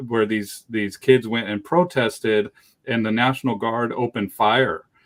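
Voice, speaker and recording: A man with a normal speaking voice keeps his intonation fairly even and his pace moderate. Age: 40s. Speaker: dog trainer and show host. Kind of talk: interview conversation. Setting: live stream.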